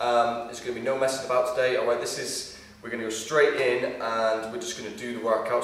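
A man speaks with fairly even intonation. Room echo is audible in the recording. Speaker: fitness instructor. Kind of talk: tutorial. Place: gym.

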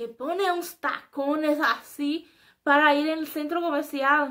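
A woman's high, bright and sharp voice, raised and projected, with a Brazilian accent, at a fairly slow pace with ordinary pitch variation, over a quiet background. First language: Portuguese (speaking Spanish). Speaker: YouTuber; vlogger. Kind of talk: casual vlog monologue. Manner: halting. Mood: animated, expressive. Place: home room. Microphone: webcam.

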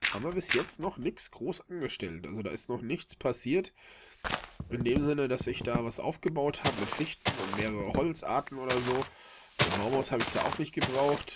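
Loud background noise behind a man's moderately paced speech. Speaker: gamer. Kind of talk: let's play commentary. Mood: relaxed, chatty.

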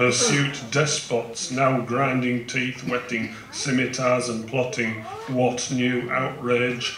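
With light background noise and audible room echo, a man speaks at a very slow pace in a monotone, flat intonation. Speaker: poet. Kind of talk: poetry reading. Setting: live event, outdoors. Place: tent. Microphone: handheld.

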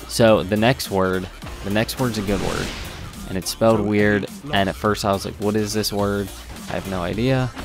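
Over music in the background, a man talks at a moderate pace. His pitch is fairly low. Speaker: gaming commentator. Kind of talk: live gameplay commentary.

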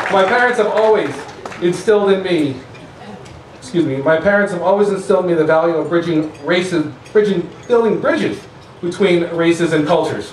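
A man talks at a fairly quick pace in a high pitch with ordinary pitch variation. Audible room echo and light background noise are present. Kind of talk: formal event speech. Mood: warm, emotional, proud. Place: tent. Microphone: podium.

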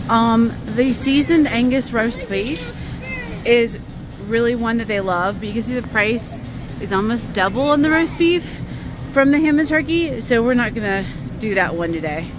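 The speech moves at a moderate pace with long, frequent pauses. Noticeable background noise runs underneath. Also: woman, dry sound with no echo. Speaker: shopping vlogger. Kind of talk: casual vlog chat. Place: shop. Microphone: phone near.

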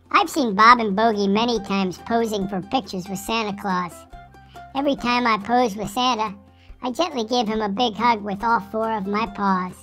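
A female-sounding, put-on character voice speaks at a fairly high pitch and moderate pace. Clear music plays in the background.

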